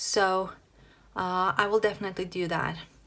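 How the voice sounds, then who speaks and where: This woman has a Norwegian accent. Her pitch is medium and her pace fairly slow. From Norway. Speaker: planner hobby youtuber. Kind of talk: casual tutorial flip-through. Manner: halting, many fillers.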